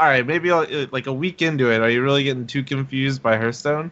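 Here a man speaks in an unremarkable speaking voice with a medium pitch. His pace is fairly quick, and his pitch variation is ordinary. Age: 20s. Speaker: former pro gamer and streamer. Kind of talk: casual chat. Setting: online voice call.

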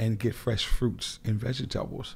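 A man speaks with a New Orleans accent, medium pitch and a dark, mellow tone. The recording is very clean, with a silent background. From New Orleans, Lower Ninth Ward. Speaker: grocery store owner, army veteran. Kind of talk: interview.

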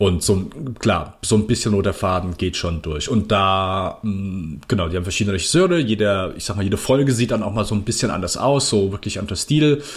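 A man speaks fairly quickly in a fairly low, somewhat breathy voice. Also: ordinary pitch variation. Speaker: podcast host. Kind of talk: casual chat.

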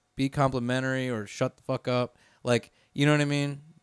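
With an American accent, a man at medium pitch talks at a fairly slow pace with ordinary pitch variation. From Florida (Winter Park, Orlando area). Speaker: chef and restaurant owner. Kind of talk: casual chat. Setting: studio.

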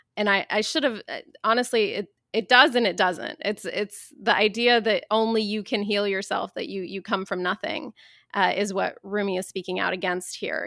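Recorded very cleanly against a silent background, the sound is dry and close with no echo. A woman with a Midwestern accent talks at a moderate pace and medium pitch, with ordinary pitch variation. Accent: General American (Midwest). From US Midwest, Dayton, Ohio. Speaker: author and activist. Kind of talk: interview conversation.

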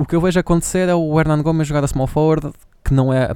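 A man with a European Portuguese accent talks at a very fast pace in a dark, mellow tone with ordinary pitch variation. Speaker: podcast co-host. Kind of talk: casual chat.

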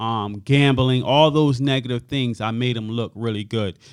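A man with an American accent has a normal speaking voice at a medium pitch. He keeps a moderate pace and fairly even intonation. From Hartford, Connecticut. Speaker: youth nonprofit founder. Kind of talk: interview testimony.

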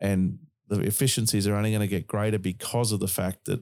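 A man's fairly low voice with an Australian accent at a very fast pace, in a very clean recording with a silent background. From Queensland, Australia. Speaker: podcast host. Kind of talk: casual chat.

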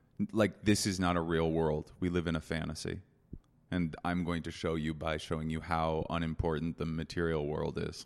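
A man with an American accent and very deep, low pitch speaks in a flat monotone, captured in a very clean recording with a silent background. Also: moderate pace. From United States. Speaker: comedian. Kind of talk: casual chat. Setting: hotel business center.

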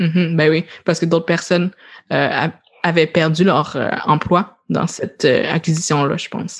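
In a Quebec accent, a woman talks at a fairly slow pace with a fairly low pitch and fairly even intonation. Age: 20s. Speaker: podcast host. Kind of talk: casual chat.

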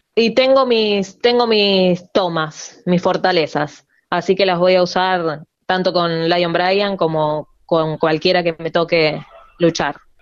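Very slow and very even in loudness, a woman's fairly low voice carries ordinary pitch variation. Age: 30s. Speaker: professional wrestler. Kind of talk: interview. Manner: halting.

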